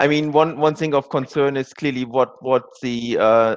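A man speaks at a fairly quick pace. His intonation is fairly even, and the background is quiet. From Germany. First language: German. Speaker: asset manager; panellist. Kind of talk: panel discussion. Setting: virtual conference. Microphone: headset.

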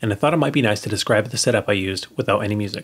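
Somewhat breathy, this man's voice races along at a very fast pace. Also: quiet background. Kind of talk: tutorial narration. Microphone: studio mic.

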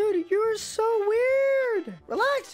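This is a put-on character voice, squeaky and extremely high in pitch. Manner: voice-changer effect.

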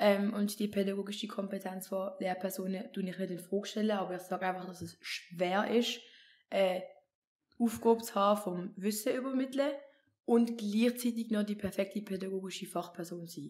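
A woman talks at a moderate pace with a Swiss accent. Her intonation is fairly even. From Switzerland. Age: 20s. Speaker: intern and incoming psychology student; podcast guest. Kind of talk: casual chat. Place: home room. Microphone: studio mic.

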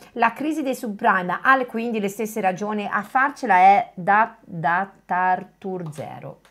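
Over a quiet background, a woman speaks at a fairly slow pace with lively intonation and long, frequent pauses. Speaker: co-host reading chat. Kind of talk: live stream discussion. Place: home room.

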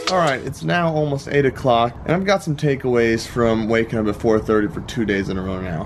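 Light background noise sits under the man as he talks. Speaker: vlogger. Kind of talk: casual vlog chat. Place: garden. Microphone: phone near.

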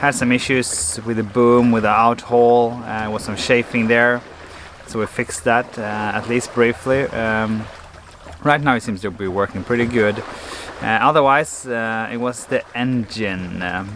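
A man speaks with fairly even intonation. The sound is dry with no echo, over light background noise. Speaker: sailor vlogger. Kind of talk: casual vlog chat. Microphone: phone near.

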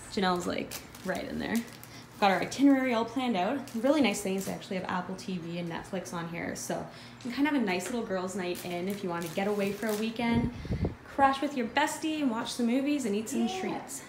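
A woman at a very fast pace over noticeable background noise. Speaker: travel vlogger. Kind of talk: casual vlog chat. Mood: enthusiastic. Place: home room. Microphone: phone near.

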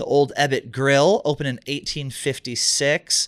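The background is quiet. The speaker is a man. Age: 30s. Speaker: comedy podcast co-host. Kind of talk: casual chat. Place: studio. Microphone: studio mic.

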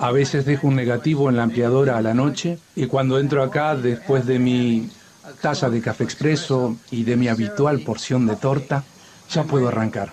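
A man with a Rioplatense accent at a moderate pace, ordinary pitch variation, and light background noise. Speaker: voice actor. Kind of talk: documentary dubbing, voicing an interviewed photographer. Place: studio.

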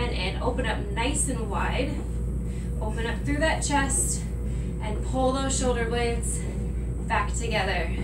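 Music runs in the background. A woman talks at a very slow pace. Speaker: fitness instructor. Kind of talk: workout instruction. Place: office. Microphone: camera far.

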